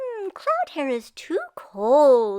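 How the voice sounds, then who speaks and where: A woman puts on a squeaky character voice, pitched high and swinging very widely up and down. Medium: read story.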